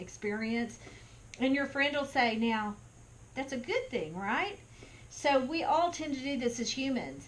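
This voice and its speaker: The speaker uses lively intonation with a Texan accent. Room echo is audible in the recording. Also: woman. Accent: Texan American. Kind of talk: talk to camera. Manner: conversational.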